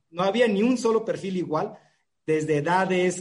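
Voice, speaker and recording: A man speaks with ordinary pitch variation. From Mexico, La Paz, Baja California Sur. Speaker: cinema chain manager. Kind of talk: casual interview.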